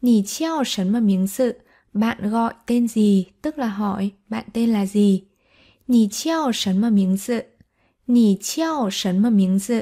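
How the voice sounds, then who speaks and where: Somewhat breathy, with a dark, mellow tone, the voice moves at a very slow pace with ordinary pitch variation. The recording is very clean, with a silent background. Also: woman, fairly high pitch for a woman. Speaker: Chinese language teacher. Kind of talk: tutorial.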